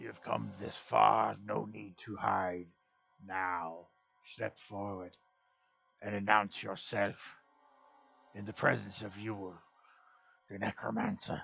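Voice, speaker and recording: A man's gravelly, fairly low put-on character voice, broken by long, frequent pauses. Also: fairly slow pace. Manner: commanding, menacing.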